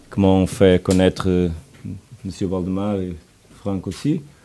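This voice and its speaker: A man with a Portuguese accent speaks in a very deep, low pitch. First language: Portuguese (speaking French). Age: 40s. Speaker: football coach. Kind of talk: press conference. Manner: halting, hesitant.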